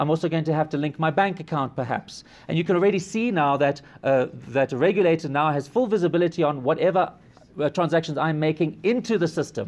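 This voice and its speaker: At a very fast pace, a man speaks at a fairly high pitch with ordinary pitch variation. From South Africa. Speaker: blockchain entrepreneur and software engineer. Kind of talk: conference presentation.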